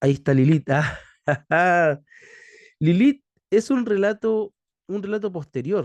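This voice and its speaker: At a fairly slow pace broken by long, frequent pauses, a man speaks in a high voice with lively intonation, the sound dry and close with no echo. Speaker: theology teacher. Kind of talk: lecture. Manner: halting.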